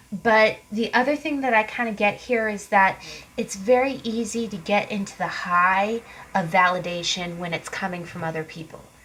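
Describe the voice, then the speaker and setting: A woman at a moderate pace, ordinary pitch variation and big swings in loudness, against noticeable background noise. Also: medium pitch for a woman. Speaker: tarot card reader. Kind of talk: tarot reading monologue. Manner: casual, conversational.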